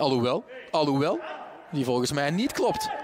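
A man speaking at a fairly slow pace, with noticeable background noise. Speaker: football commentator. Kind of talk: live football commentary.

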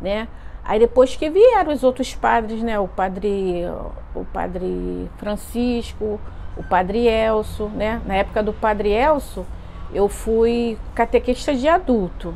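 Faint music plays in the background. A woman speaks at a very slow pace. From Brazil. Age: 50s. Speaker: parishioner. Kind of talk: testimony; interview answer, personal testimony. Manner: hesitant, many fillers. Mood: warm, nostalgic. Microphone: lapel.

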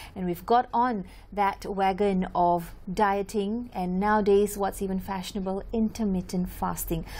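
A woman speaks at medium pitch with a dark, mellow tone. Her pace is moderate and her intonation fairly even. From Malaysia. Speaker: TV news presenter. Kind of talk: TV interview. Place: studio. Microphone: lapel.

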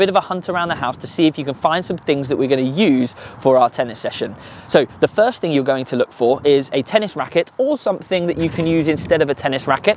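Speech comes at a very fast pace with ordinary pitch variation, in a dry sound with no echo and light background noise. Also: man. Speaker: tennis coach. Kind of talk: tutorial. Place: open country.

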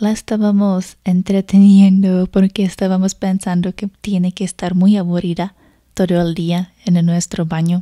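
A soft-spoken woman with a dark, mellow tone talks at a fairly slow pace. The background is quiet. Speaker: foreigner living in a Spanish-speaking country, storyteller. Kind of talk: ASMR storytime, personal anecdote. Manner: soft-spoken, relaxing. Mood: warm, amused. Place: home room. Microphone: studio mic.

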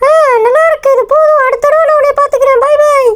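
This put-on character voice is extremely high in pitch and moves at a fairly quick pace. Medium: solo performance. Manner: scolding, bossy.

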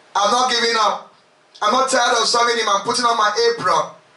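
A man talks at a very fast pace in an animated tone, with an extremely high pitch. His raised, projected voice carries audible room echo. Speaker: preacher leading a retreat. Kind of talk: sermon, fervent preaching with prayer. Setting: retreat with congregation. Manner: animated, impassioned, exhorting the crowd with repeated calls. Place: home room.

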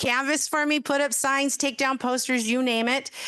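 A woman's voice has a bright, sharp tone. The background is quiet. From US West (Madera, California). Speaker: newly sworn-in mayor. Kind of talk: inaugural speech at council meeting. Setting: council chambers with packed audience. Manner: fast.

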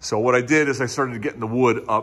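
Ordinary pitch variation in the speech of a man. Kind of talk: casual vlog chat. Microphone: phone near.

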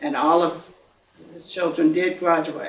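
Audible room echo colors a woman's fairly low-pitched voice, which has ordinary pitch variation. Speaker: interviewee. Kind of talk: interview answer. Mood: warm, reflective storytelling. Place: studio.

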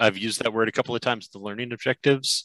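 Recorded against a quiet background with a dry, echo-free sound, this is a normal speaking voice with ordinary pitch variation. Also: man. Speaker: presenter. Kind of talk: lecture. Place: home room. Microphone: headset.

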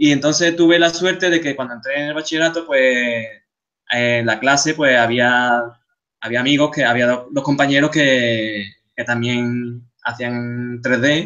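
A man with an Andalusian accent, fairly slow pace and ordinary pitch variation. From Seville, Spain. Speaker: game artist. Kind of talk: lecture. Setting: video call.

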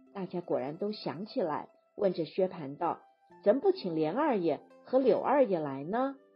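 Music plays in the background as a woman speaks at a fairly slow pace. Her pitch swings very widely. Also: medium pitch for a woman. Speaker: audiobook narrator. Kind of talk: classic novel audiobook reading.

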